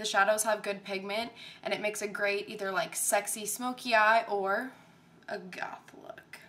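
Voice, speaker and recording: A woman with an unremarkable speaking voice talks at a medium pitch and a moderate pace, her intonation fairly even. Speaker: makeup tutorial creator. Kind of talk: video intro to camera. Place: home room. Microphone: webcam.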